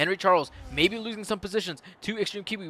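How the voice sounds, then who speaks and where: A man's raised, projected voice carries a bright, sharp and animated tone. The sound is dry and close with no echo. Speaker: sim racing league commentator. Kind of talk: live commentary. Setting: live stream.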